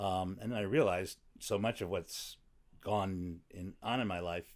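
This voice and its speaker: A man with a very deep, low voice speaks in an American accent on a very clean recording with a silent background. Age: 60s. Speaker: podcast guest, comedian. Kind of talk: casual interview. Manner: halting.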